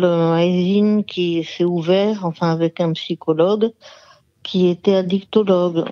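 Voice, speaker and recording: Her voice at a medium pitch, a woman speaks with fairly even intonation and a dark, mellow tone. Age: 60s. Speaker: former alcoholic giving testimony. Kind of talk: phone interview testimony. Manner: halting, many hesitations.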